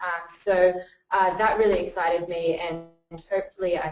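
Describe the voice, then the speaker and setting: Music plays behind a speaker with an Australian accent. The moderate-paced delivery is monotone and flat. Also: woman. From Australia, Western Sydney. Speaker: crowdfunding community builder. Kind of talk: webinar presentation. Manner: hesitant, many filler words.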